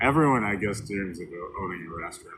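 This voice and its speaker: The man's voice sits fairly low, in an American accent. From US Midwest, northern Illinois. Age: 60s. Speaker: storyteller sharing life story. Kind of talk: personal life story monologue. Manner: casual, hesitant with fillers.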